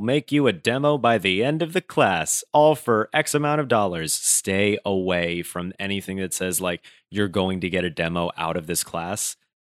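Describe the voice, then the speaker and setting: A man with an American accent uses an ordinary speaking voice and lively intonation at a fairly slow pace. The recording is very clean, with a silent background. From Brooklyn, New York. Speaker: comedian and voice actor. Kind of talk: casual interview chat.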